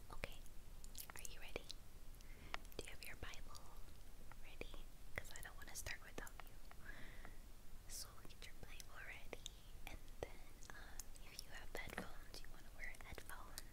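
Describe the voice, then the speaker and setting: Long, frequent pauses in a woman's moderately paced speech. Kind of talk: Bible reading. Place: home room.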